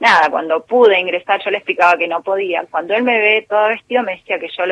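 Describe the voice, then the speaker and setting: This woman speaks at a very fast pace with ordinary pitch variation. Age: 40s. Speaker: intensive care nurse. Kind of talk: interview.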